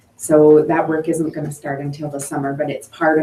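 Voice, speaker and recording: Against noticeable background noise, a woman with a very deep, low voice speaks at a very fast pace. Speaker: municipal staff. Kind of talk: council meeting report.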